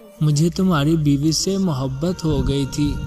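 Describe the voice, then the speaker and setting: Ordinary pitch variation, with music in the background. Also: man. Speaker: voice-over artist. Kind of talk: Islamic story narration.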